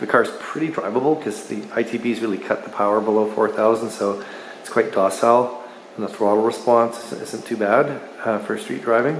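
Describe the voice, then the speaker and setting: A man's fairly even, moderately paced speech, with audible room echo and light background noise. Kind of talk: casual vlog chat. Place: garage. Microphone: phone near.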